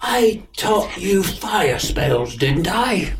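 With clear background noise behind him, a man does a put-on character voice at a high pitch. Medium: actual play.

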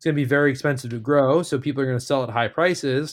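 The speech carries a New York accent. The recording is very clean, with a silent background. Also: man. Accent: New York American. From US, New York area. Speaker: cannabis venture investor. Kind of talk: interview.

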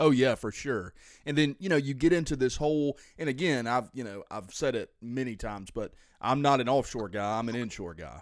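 Over a very clean recording with a silent background, a man speaks in a normal speaking voice at a medium pitch. He goes at a fairly quick pace with lively intonation. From US South. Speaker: fishing podcast host. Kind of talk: casual chat.

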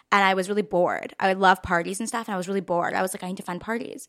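A woman with a Californian accent has a bright, sharp tone at medium pitch, with a dry, close sound and no echo. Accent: Californian American. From Los Angeles, US. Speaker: social media creator. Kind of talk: casual chat.

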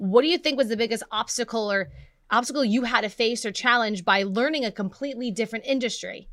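On a very clean recording with a silent background, a woman speaks very fast in an animated tone, at a fairly high pitch with ordinary pitch variation. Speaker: podcast host. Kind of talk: casual interview.

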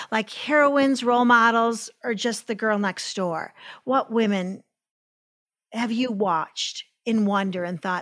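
A woman with an ordinary speaking voice, medium pitch and ordinary pitch variation at a fairly slow pace, on a very clean recording with a silent background. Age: 60s. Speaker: podcast host. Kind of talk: interview.

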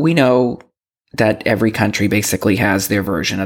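With an American accent, a man speaks at a fairly low pitch with vocal fry. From Boston. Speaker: podcast host. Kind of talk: solo podcast monologue.

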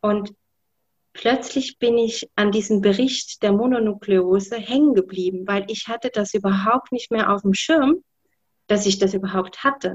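A somewhat breathy woman at a medium pitch, fairly slow, with ordinary pitch variation. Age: 40s. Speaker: guest sharing health story. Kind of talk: interview testimony. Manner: hesitant with many fillers.

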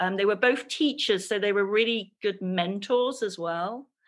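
This woman has an English accent and a fairly high pitch with ordinary variation. The recording is very clean, with a silent background. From England. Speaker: textile artist and creative coach. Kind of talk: interview.

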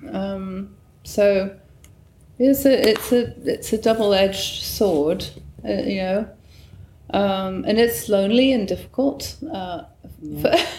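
A woman speaks very slowly at a medium pitch, with long, frequent pauses and lively intonation. Noticeable background noise is present. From northern England, Newcastle upon Tyne. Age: 60s. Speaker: painter. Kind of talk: interview. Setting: artist's studio.

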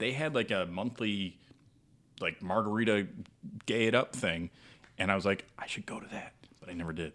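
Speaking at a moderate pace, a man uses a fairly low pitch with ordinary pitch variation. His loudness swings widely, and he leaves long, frequent pauses. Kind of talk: casual roundtable chat.

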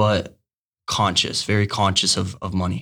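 Here a man speaks. The recording is very clean, the background silent. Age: 20s. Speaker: young entrepreneur. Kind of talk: casual interview. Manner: energetic.

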